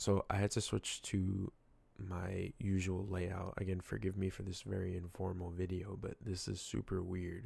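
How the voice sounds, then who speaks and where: A man's very deep, low, somewhat breathy voice with a dark, mellow tone, monotone and flat, at a moderate pace on a very clean recording with a silent background. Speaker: gaming youtuber. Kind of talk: casual vlog. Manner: slightly slurred; halting.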